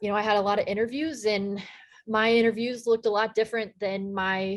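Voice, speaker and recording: The recording is very clean with a silent background. A woman with an American accent speaks at medium pitch and a moderate pace, her intonation fairly even. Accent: slight Texan accent, toned down. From Texas. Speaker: sports play-by-play broadcaster. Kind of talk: casual interview chat.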